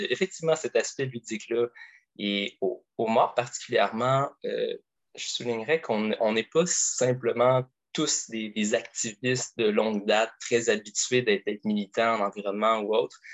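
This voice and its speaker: This man's medium-pitched voice stays fairly even in intonation as he talks at a fairly slow pace. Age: 20s. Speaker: environmental activist and graduate student. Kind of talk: interview conversation. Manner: halting, frequent repetitions.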